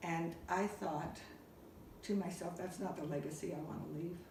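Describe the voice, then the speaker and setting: A woman with a fairly low pitch speaks at a moderate pace and fairly even intonation. Noticeable background noise and audible room echo fill the recording. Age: 60s. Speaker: peer support worker. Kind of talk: interview.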